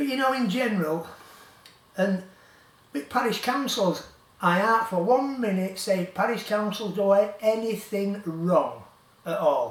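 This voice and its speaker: A man with a West Yorkshire accent, high in pitch, at a fairly slow pace with ordinary pitch variation, amid noticeable background noise and audible room echo. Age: 70s. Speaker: local campaigner vlogger. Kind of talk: rant to camera. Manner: animated; halting.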